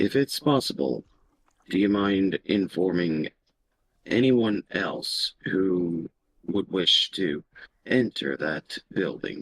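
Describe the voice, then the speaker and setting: A man uses a put-on character voice that is raspy with a very deep, low pitch. He talks at a very slow pace with long, frequent pauses. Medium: actual play. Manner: formal, measured, courteous.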